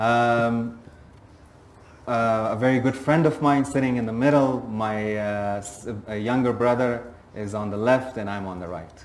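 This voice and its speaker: The man's voice sits at a medium pitch, with fairly even intonation and a fairly slow pace. His loudness swings widely, and audible room echo surrounds him. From Afghanistan, raised in Pakistan (Peshawar). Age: 30s. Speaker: entrepreneur. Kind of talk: on-stage interview. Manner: hesitant, many fillers.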